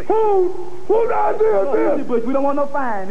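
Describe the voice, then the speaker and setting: A man talks at a high pitch with very wide pitch swings. Light background noise is present. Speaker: wrestling manager. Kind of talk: wrestling promo. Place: studio. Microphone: handheld.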